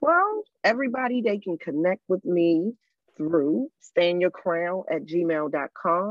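Speaking at a very slow pace, a woman talks with an American accent. Her pitch sits in the medium range. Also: lively intonation. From Maryland, US. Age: 40s. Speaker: domestic abuse survivor and nonprofit founder. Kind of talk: casual interview, personal testimony.

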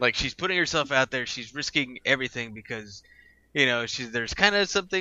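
This man has a normal speaking voice. He talks at a fairly quick pace with ordinary pitch variation. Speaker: podcast co-host. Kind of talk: casual chat about movies and TV. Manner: jokey, laughs often.

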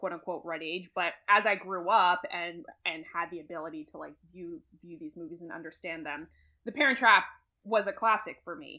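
With a normal speaking voice, a woman speaks at a moderate pace, her fairly low pitch showing ordinary variation. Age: 20s. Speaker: podcast co-host. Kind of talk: reading aloud; casual chat.

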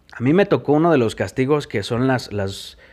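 A man with a Mexican accent speaks at a fairly slow pace in a medium pitch, with lively intonation. The recording is very clean with a silent background. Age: 30s. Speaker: podcast host sharing recovery story. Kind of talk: personal testimony. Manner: casual, colloquial.

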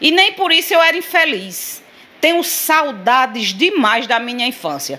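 In a raised, projected voice, a woman with a high pitch speaks at a fairly slow pace, her voice making very wide pitch swings. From Sousa, Paraíba, Brazilian Northeast. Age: 50s. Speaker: political activist. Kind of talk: interview.

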